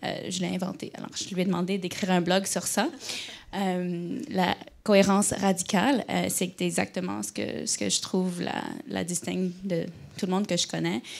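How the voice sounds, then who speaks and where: A woman is speaking with an English accent. Her pace is moderate. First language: English (speaking French). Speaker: company culture director, interviewer. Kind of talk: onstage interview. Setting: stage with live audience. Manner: halting, many hesitations.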